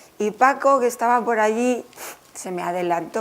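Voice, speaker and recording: A woman talks while noticeable background noise can be heard. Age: 60s. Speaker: author. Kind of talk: book presentation talk.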